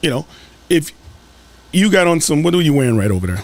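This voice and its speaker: Over noticeable background noise, a man with fairly high pitch and an American accent talks at a very fast pace with very wide pitch swings. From US South. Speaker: school board candidate. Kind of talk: podcast interview.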